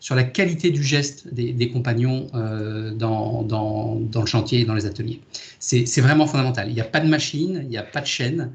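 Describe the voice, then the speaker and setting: Somewhat breathy, a man speaks at a medium pitch. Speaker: boatbuilding company executive. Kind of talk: video conference presentation. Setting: video call. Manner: fast; halting, many repetitions and fillers.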